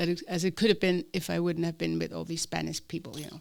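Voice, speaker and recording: A woman speaks in a fairly low voice with an Icelandic accent. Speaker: Spanish teacher. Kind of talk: interview. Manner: hesitant, with fillers.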